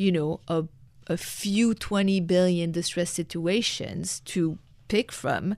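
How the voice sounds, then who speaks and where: A woman talks at a fairly slow pace in a fairly low pitch, keeping her intonation fairly even. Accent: French. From France. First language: French. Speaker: former hedge fund manager and author. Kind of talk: interview. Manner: halting.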